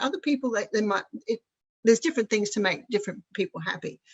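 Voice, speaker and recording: A woman's somewhat breathy voice with lively intonation and an Australian accent. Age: 60s. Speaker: spiritual centre group leader. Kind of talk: casual chat.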